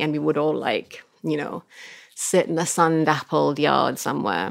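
With vocal fry and a very deep, low pitch, a woman speaks in an animated tone at a fairly slow pace, recorded very cleanly with a silent background. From Sudanese, raised in Kenya, Egypt and Saudi Arabia. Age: 30s. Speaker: writer and newspaper columnist. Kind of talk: casual interview. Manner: animated, laughs often.

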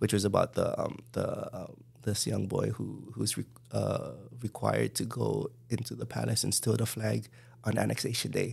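A man with a Hawaiian accent speaks at a moderate pace. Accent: Hawaii local English. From Hawaii, Kalihi (Honolulu). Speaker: filmmaker. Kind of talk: casual chat.

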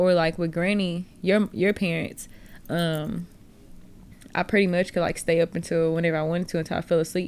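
On a very clean recording with a silent background, a woman speaks in a fairly low pitch with monotone, flat intonation. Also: moderate pace. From Texas, Houston area. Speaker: podcast host. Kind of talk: casual chat.

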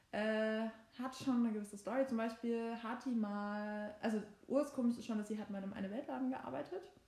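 A woman's fairly high voice over noticeable background noise. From Saxony, Germany. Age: 22. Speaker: law student, podcast co-host. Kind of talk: casual chat. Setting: sitting on a bed at home.

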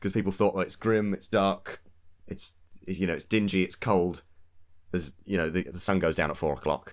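This man speaks with an English accent and a very deep, low pitch. His pace is fairly quick and his intonation fairly even. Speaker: political podcast co-host. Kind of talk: casual political discussion.

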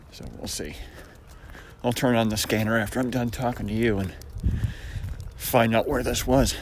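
In an American accent, a man talks at a moderate pace with fairly even intonation and long, frequent pauses, with audible room echo. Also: medium pitch for a man. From US Northeast, Syracuse New York. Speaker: vlogger. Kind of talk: casual monologue. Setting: outdoors on a walk.

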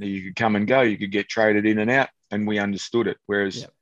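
A man with an Australian accent talks at a very fast pace in a fairly low pitch. The sound is dry and close, with no echo. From country Victoria, Australia. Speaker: former footballer and kicking coach. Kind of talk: casual interview.

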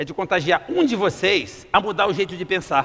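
Animated and lively in intonation, a man with a high-pitched, bright, sharp tone speaks at a moderate pace. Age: 50s. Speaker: entrepreneur giving a motivational talk. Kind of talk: motivational talk.

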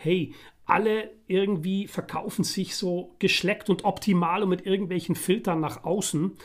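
This man talks at a fairly slow pace with a high pitch. His intonation stays fairly even. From Netherlands (The Hague). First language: Dutch (speaking German). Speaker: podcast co-host. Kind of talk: casual chat.

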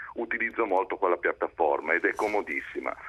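A man talks at a fairly quick pace. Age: 60s. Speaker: entrepreneur calling a radio show. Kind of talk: phone-in comment. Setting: phone call.

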